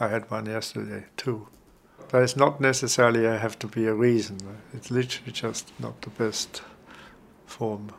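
A man with an Austrian accent, medium-pitched and monotone, with long, frequent pauses. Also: moderate pace, big swings in loudness. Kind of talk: interview about personal experience. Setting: at home. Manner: halting, searching for words.

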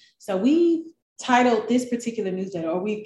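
A woman with an American accent speaks in a dark, mellow tone that is somewhat breathy. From US South, Memphis, Tennessee. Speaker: newspaper newsletter coach. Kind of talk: interview.

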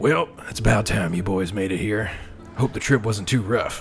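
With clear music in the background, a man puts on a raspy character voice, fairly low in pitch with ordinary variation, at a moderate pace. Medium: actual play. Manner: smooth, condescending.

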